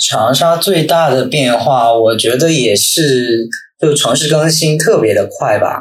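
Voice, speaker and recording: A man's somewhat breathy, fairly high voice at a very slow pace, with ordinary pitch variation, very even loudness and audible room echo. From Northeast China. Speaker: guest, former university student in the city. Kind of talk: casual chat.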